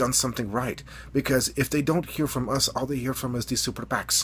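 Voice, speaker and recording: This man talks at a fairly quick pace with fairly even intonation. His voice has vocal fry. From Eastern Europe. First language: not English. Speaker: political video blogger. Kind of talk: political commentary monologue. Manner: halting, many fillers.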